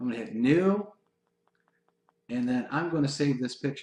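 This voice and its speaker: A man with a fairly high pitch and lively intonation. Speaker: online marketing trainer. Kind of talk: webinar screen-share tutorial. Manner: fast; animated.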